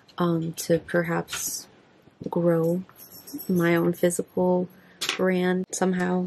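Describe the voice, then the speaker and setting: The delivery is very slow and monotone, with flat intonation. Long, frequent pauses break it up against noticeable background noise. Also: woman, fairly low pitch for a woman. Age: 20s. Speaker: beauty vlogger. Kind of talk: casual chat. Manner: halting.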